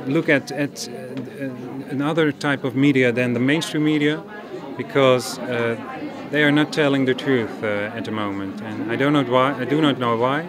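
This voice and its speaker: Amid crowd noise and audible room echo, a man speaks at a moderate pace and medium pitch with ordinary pitch variation. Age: 30s. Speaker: dentist. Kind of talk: testimony. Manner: halting, repeating words.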